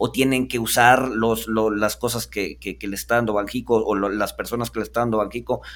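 The speech moves at a fairly quick pace with hardly any pauses and a monotone, flat intonation. The recording is very clean, with a silent background. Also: man, medium pitch for a man. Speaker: podcast host. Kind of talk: interview. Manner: halting.

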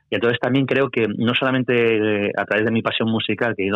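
A man with a plain, everyday voice talks at a fairly quick pace, his intonation fairly even. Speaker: music journalist. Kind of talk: interview.

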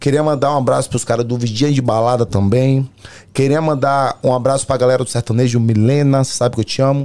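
This man has a dark, mellow tone at a medium pitch and talks at a very fast pace. His loudness stays very even, and his intonation is fairly even. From Brazil, Salvador, Bahia. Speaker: pagode singer and musician. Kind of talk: casual chat.

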